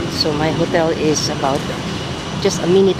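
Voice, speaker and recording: Loud background noise fills a dry sound with no echo. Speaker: solo traveler vlogger. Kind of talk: casual vlog chat. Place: street. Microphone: phone near.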